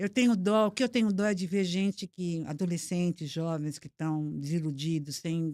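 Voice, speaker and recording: Dark and mellow in tone, a woman speaks at a fairly low pitch and a moderate pace. The sound is dry and close with no echo, on a very clean recording with a silent background. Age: 70s. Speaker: motivational speaker. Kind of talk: podcast interview.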